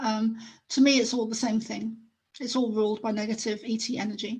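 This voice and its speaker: Against a quiet background, a woman with a fairly high pitch speaks in a monotone, flat intonation, somewhat breathy. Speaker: psychic medium and author. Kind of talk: interview.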